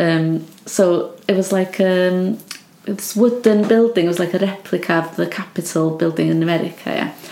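A woman with a north Welsh accent speaks at a medium pitch and moderate pace, with fairly even intonation and noticeable background noise. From Wales, Anglesey. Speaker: artist. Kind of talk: casual chat. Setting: home studio.

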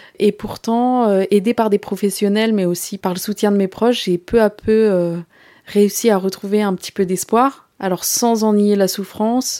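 The woman has a dark, mellow tone at a medium pitch. She speaks at a fairly slow pace with fairly even intonation. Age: 30s. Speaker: podcast creator, bereaved mother. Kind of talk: personal testimony. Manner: halting.

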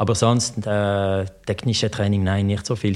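A man speaks with a French accent at a fairly slow pace, his pitch fairly low and his intonation monotone and flat. The recording is very clean, with a silent background. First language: French (speaking German). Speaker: former pro cyclist. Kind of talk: interview. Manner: halting.

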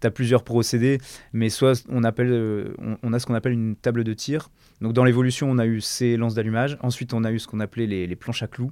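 The delivery is very fast, with monotone, flat intonation. It is a very clean recording, dry and close with no echo and a silent background. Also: man, medium pitch for a man. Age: 30s. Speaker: fireworks technician. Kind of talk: interview.

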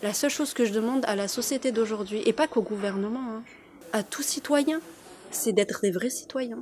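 Here a woman talks with a fairly high pitch and ordinary variation in it. Her pace is moderate, and background noise is noticeable. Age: 30s. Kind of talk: interview testimony.

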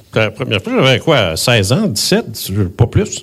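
Very slow pace and very wide pitch swings, in a Quebec accent. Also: man. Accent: Québécois French. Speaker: retired radio host, UFO contactee. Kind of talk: speech at tribute event.

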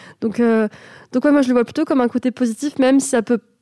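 This woman has a high pitch and a dark, mellow tone with fairly even intonation. The sound is dry and close, with no echo. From France, Avignon, Moroccan family. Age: 20s. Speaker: podcast host guest. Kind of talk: casual chat. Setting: studio.

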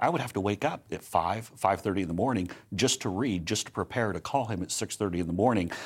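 A man with an American accent speaks in a plain, everyday voice at a fairly low pitch, moving at a fairly quick pace with hardly any pauses and ordinary pitch variation. The recording is very clean, with a silent background. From United States. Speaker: political advisor. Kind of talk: casual interview.

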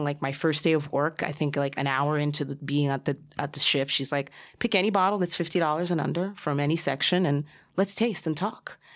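Captured in a very clean recording with a silent background, a woman talks at a very deep, low pitch with ordinary pitch variation. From New Jersey, US. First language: Spanish. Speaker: sommelier and beverage director. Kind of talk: casual interview chat.

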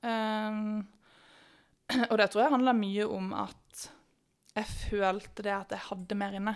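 A woman speaks at a very slow pace with long, frequent pauses, her fairly high voice flat and monotone on a very clean recording with a silent background. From Norway, Bergen. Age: 20s. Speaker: sprinter. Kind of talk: podcast interview.

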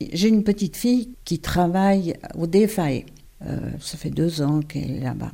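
This woman's voice is fairly low in pitch with a dark, mellow tone. She talks at a fairly slow pace with lively intonation. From France, Paris. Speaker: retired UN secretary. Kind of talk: interview testimony. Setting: at her home.

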